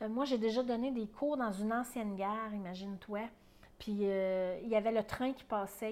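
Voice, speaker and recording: Someone with a Quebec accent speaks at a moderate pace with fairly even intonation. The recording is very clean, with a silent background. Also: woman. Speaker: perinatal educator and podcast host. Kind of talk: casual teaching monologue. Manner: conversational, with hesitations.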